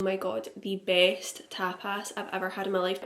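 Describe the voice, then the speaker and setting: Over noticeable background noise, a woman with a Scottish accent speaks in an upbeat tone. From Glasgow, Scotland. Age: 20s. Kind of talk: casual vlog talk to camera. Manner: upbeat, chatty.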